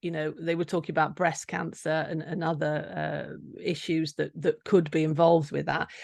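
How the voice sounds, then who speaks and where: A woman with an English accent and a fairly low pitch, against a quiet background. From England. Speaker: nutritional therapist. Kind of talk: interview. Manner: halting.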